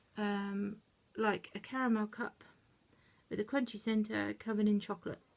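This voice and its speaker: Her voice somewhat breathy, a woman with a British accent speaks at a medium pitch with fairly even intonation. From UK. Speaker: YouTube reviewer. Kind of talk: product review. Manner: fast; hesitant with fillers.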